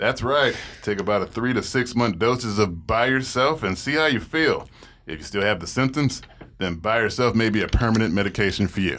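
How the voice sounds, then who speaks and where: A man's voice at a fairly quick pace with ordinary pitch variation. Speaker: dating show guest. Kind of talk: casual chat.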